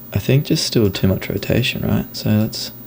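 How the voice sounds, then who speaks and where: A soft-spoken man talks at a fairly low pitch with ordinary pitch variation. Noticeable background noise is present. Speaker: video editor. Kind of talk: tutorial. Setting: screen recording.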